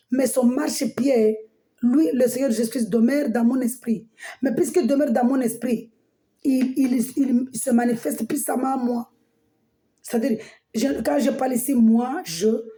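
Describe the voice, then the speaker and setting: A woman speaks at a fairly slow pace with a high pitch. Her tone is dark and mellow, and her pitch varies in an ordinary way. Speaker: preacher. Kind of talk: sermon. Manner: halting, many repetitions.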